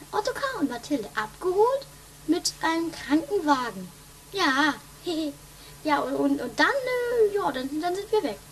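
Amid clear background noise, a woman performs a put-on character voice at a moderate pace with very wide pitch swings. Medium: audio drama. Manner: bossy, impatient.

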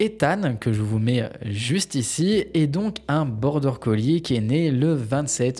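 Somewhat breathy with a dark, mellow tone, the voice moves at a very slow pace with lively intonation. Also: man. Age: 20s. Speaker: YouTuber, lifestyle vlogger. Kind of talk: casual talking-head vlog monologue.

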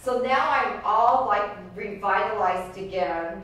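A woman speaks with ordinary pitch variation. There is strong room echo and light background noise. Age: 50s. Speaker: real estate agent. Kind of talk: group coaching session. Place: meeting room.

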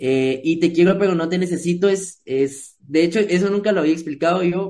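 Speaking fairly quickly with hardly any pauses, a man with a Guatemalan accent uses a high pitch, a dark, mellow tone and fairly even intonation. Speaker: musician and music producer; guest. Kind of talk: interview. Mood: relaxed, friendly. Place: home room. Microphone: video call.

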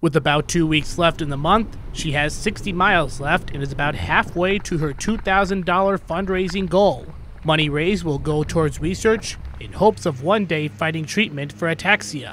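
There is noticeable background noise. A man speaks at a moderate pace with a fairly high pitch. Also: ordinary pitch variation. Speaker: news reporter. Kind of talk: TV news narration.

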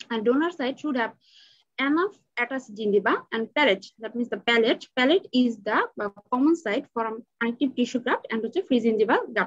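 A woman speaks fairly quickly in a high voice with lively intonation. The background is quiet. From Bangladesh. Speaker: dental student; presenter. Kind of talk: student paper presentation. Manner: halting. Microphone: webcam.

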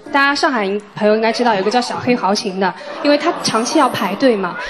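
Noticeable background noise runs behind a woman's voice. She talks at a fairly quick pace with ordinary pitch variation. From Shanghai. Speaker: dating show contestant. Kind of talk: dating show confession. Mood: warm, slightly shy. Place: stage. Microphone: handheld.

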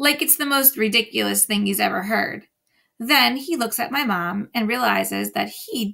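Quiet surroundings and a natural reading voice

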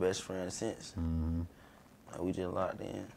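Very deep, low-pitched man's voice over light background noise. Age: 20s. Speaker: rapper; podcast guest. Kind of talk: casual chat. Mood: relaxed, casual storytelling. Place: studio.

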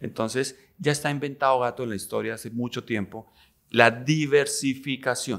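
Against a quiet background, a man speaks at a medium pitch. His pace is moderate and his intonation fairly even. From Colombia, Neiva (Huila); Colombia. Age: 50s. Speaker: businessman; interview guest. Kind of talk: interview conversation. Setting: hotel. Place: studio. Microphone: studio mic.

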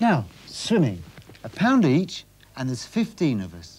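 With very wide pitch swings, a man speaks in a slightly mellow tone with a slightly husky edge. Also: medium pitch for a man, fairly slow pace.

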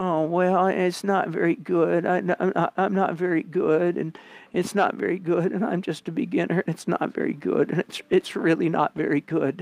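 A man puts on a whiny, high-pitched character voice at a moderate pace, with hardly any pauses. The sound is dry and close, with no echo. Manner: mocking, whiny.

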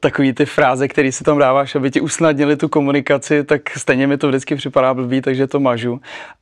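Against a quiet background, a man talks at a very fast pace with hardly any pauses, his intonation monotone and flat. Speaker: talk show guest. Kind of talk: interview answer. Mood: cheerful, laughing. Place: studio.

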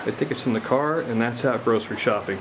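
A man talks at a very fast pace with ordinary pitch variation over noticeable background noise. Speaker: radio hobbyist demonstrator. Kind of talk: tutorial. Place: garden. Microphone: camera far.

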